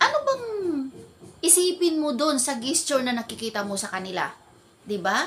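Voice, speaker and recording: An animated woman's voice, high-pitched, with very wide swings in pitch, a fairly quick pace, long and frequent pauses, and noticeable background noise. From Philippines, Ilonggo-speaking. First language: Hiligaynon (Ilonggo) (speaking Tagalog). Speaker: vlogger. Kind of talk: casual storytelling vlog.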